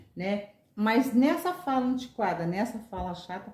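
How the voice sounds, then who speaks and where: A woman's fairly high voice with lively intonation at a moderate pace, against noticeable background noise. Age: 60s. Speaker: retired teacher. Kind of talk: interview.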